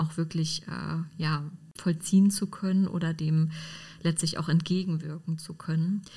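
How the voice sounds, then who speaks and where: A woman speaks in a dark, mellow, somewhat breathy tone. Her delivery is fairly slow and monotone, with flat intonation. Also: fairly low pitch for a woman. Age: 30s. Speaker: historian. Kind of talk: interview.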